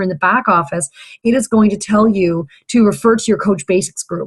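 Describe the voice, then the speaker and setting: Her voice is fairly high and somewhat breathy. This woman uses ordinary pitch variation. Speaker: fitness business coach. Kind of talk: training video for new coaches. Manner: fast; hesitant, many fillers.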